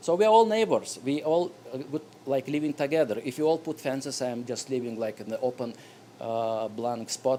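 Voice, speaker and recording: Speaking at a fairly quick pace with a non-native accent, a man uses a dark, mellow tone and lively intonation. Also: medium pitch for a man. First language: not English. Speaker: resident speaking at public hearing. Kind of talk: public comment at zoning board meeting. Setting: town hall meeting room. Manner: halting.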